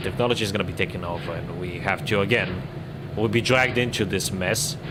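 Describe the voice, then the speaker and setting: Talking at a very fast pace with lively intonation, a man with a strong non-native accent and a fairly low pitch is heard amid noticeable background noise and audible room echo. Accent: strong foreign. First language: not English. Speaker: gaming streamer. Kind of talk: casual livestream commentary. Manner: hesitant, many fillers.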